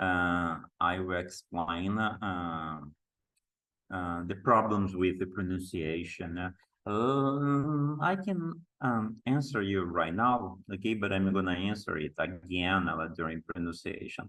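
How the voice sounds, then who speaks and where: A man's very deep, low voice in a strong Brazilian accent, very slow in pace, with ordinary pitch variation. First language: Portuguese. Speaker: teacher trainer. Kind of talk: online workshop lecture. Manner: halting, many fillers.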